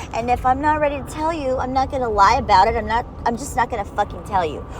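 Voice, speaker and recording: Noticeable background noise sits behind this woman. She speaks at a fairly high pitch with lively intonation. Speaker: personal vlogger. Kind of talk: personal letter monologue. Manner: blunt, emphatic.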